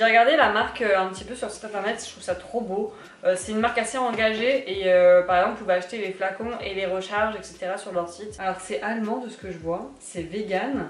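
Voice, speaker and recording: Over light background noise and audible room echo, a woman speaks with ordinary pitch variation and big swings in loudness. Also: fairly quick pace. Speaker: lifestyle vlogger. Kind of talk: casual vlog chat. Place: kitchen.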